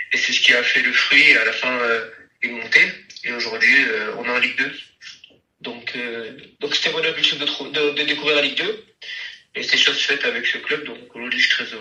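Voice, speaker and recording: The man talks at a moderate pace with long, frequent pauses. Audible room echo is present. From south-west France, Landes. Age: 20s. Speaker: professional footballer. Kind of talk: interview. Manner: halting, many fillers and repetitions.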